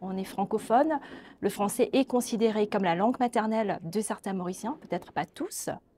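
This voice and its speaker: At a moderate pace, a somewhat breathy woman speaks with a fairly high pitch, a dark, mellow tone, and ordinary pitch variation. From Mauritius. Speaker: social scientist, linguistics researcher. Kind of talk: webinar interview. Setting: webinar. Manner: hesitant, many fillers.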